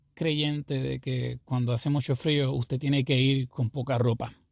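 Speaking fairly slowly, a man with an unremarkable speaking voice and fairly high pitch is heard in a dry, close sound with no echo. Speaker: pastor. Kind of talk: sermon-style podcast monologue.

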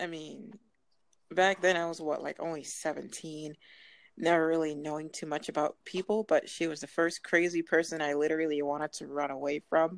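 A woman with an American accent speaks at a very deep, low pitch and a moderate pace, her intonation fairly even. The recording is very clean and dry, close with no echo and a silent background. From Massachusetts. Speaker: podcast host. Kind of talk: casual solo podcast monologue.

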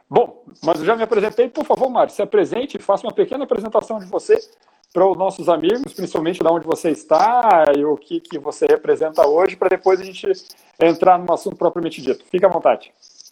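A man speaks in a high voice with lively intonation and a dark, mellow tone. His pace is very fast. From southern Brazil (Porto Alegre, Rio Grande do Sul). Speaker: psychologist and live show host. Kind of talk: interview. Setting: live stream.

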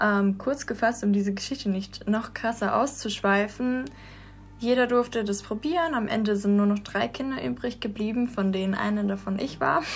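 At a moderate pace, a woman speaks in a somewhat breathy voice of medium pitch with ordinary pitch variation. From Russia, St. Petersburg. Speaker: dancer. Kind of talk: casual chat. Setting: studio.

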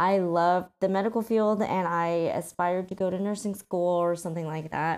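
A woman with a General American accent speaks at medium pitch and a moderate pace, with fairly even intonation. The recording is very clean, with a silent background. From Colorado, US. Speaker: podcast host. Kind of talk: personal monologue. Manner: casual, with fillers.

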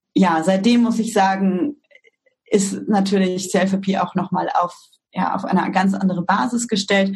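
A woman speaks in a normal speaking voice at a fairly slow pace, her intonation fairly even. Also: medium pitch for a woman. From Germany, East Westphalia-Lippe (Detmold). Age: 30s. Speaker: startup co-founder. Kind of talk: interview.

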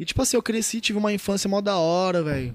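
On a very clean recording with a silent background, a man speaks at a very fast pace with ordinary pitch variation. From interior of São Paulo state, Brazil (Tupã). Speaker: rap battle organizer. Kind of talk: casual chat.

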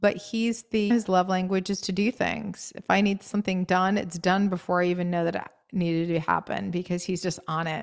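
A woman with an American accent and a plain, everyday voice, medium in pitch, at a moderate pace with fairly even intonation. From US New England, Maine. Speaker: podcast guest, writer and public speaker. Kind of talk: casual interview chat. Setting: video call.

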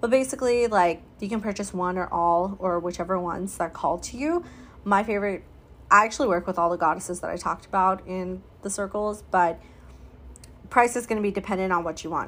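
A woman speaks in an ordinary speaking voice at a medium pitch and a fairly quick pace, with ordinary pitch variation. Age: 30s. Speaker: podcast host, spiritual healing coach. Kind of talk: solo podcast monologue. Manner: casual.

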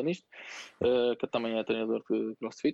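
A man talks at a medium pitch. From northern Portugal, Santo Tirso. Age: 30s. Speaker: CrossFit coach and gym owner. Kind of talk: casual interview.

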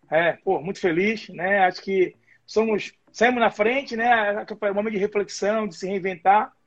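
At a fairly slow pace, a man talks. His pitch is high. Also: ordinary pitch variation. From Brazil, Bahia. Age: 50s. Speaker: boxing and MMA coach. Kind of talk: casual interview. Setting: live video stream.

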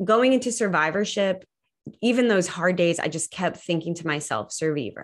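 At a moderate pace, a woman with medium pitch and ordinary pitch variation speaks in an unremarkable speaking voice on a very clean recording with a silent background. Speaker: cancer survivor and advocate. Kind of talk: interview.

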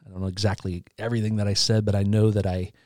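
With a Midwestern American accent, a man speaks at a fairly low pitch in a dry, close sound with no echo, on a very clean recording with a silent background. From Indiana, US Midwest. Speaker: podcast network co-founder. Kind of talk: personal testimony. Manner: halting, frequent repetitions.

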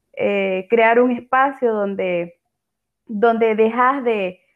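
A woman speaks with a fairly high pitch. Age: 20s. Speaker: writer. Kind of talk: interview.

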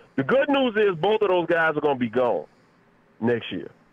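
Noticeable background noise fills the recording. Through it, a man is talking. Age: 40s. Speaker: sports talk panelist. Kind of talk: casual sports talk. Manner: animated.

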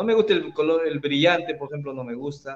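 A man speaks in an ordinary speaking voice at a moderate pace. His pitch is fairly high, with ordinary pitch variation. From Peru, Trujillo. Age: 40s. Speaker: carpenter and tool-making content creator. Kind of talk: casual interview.

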